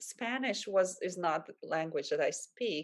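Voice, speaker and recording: Speaking at a fairly slow pace, a woman talks in a Latvian accent. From Latvia, Valmiera. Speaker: life coach. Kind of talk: interview. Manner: halting.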